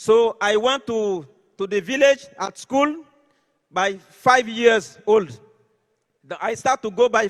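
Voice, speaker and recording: A man with an Ivorian accent at an extremely high pitch, very slow pace and ordinary pitch variation. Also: dry, close sound with no echo. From Côte d'Ivoire. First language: French. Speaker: network marketing leader. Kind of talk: motivational speech.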